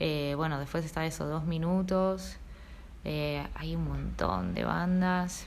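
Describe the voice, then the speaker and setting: The speech moves at a very slow pace with very even loudness. Audible room echo surrounds it. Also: woman. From Argentina, Mendoza and Tierra del Fuego. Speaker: musician and painter. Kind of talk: casual interview chat. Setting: home recording studio.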